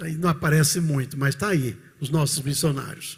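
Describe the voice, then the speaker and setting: A man's voice comes across as somewhat breathy. His pitch is fairly high. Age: 70s. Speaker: pastor. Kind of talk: sermon. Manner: animated.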